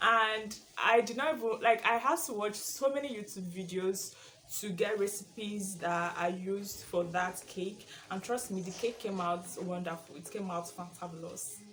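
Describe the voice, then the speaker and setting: In a room with audible echo, a woman with a Nigerian accent speaks at a moderate pace, her pitch varying in an ordinary way and her loudness swinging widely. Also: medium pitch for a woman. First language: Igbo. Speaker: YouTuber. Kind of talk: casual vlog chat. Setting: at home, sitting in her room.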